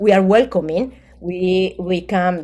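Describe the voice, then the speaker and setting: A woman speaks in a medium pitch with a dark, mellow tone. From Colombia. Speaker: graduate researcher. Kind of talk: academic seminar presentation. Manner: halting.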